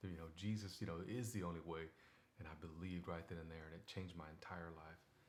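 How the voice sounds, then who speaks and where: A man with a very deep, low pitch and fairly even intonation at a very fast pace, with audible room echo. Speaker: devotional video host. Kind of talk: casual Bible devotional talk. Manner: conversational, many fillers.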